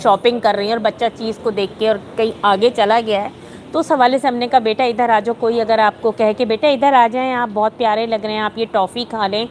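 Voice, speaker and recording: The voice is a flat monotone. Noticeable background noise runs underneath. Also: woman, fairly high pitch for a woman. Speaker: voice actor. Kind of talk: interview answer.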